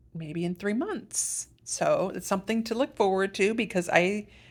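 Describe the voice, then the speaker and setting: On a very clean recording against a silent background, a woman speaks. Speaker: patient video blogger. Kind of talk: casual personal vlog update. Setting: hotel room.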